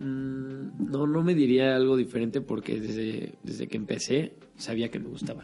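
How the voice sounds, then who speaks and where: A man with an unremarkable speaking voice talks at a medium pitch and moderate pace, with fairly even intonation. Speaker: acting student. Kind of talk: casual chat.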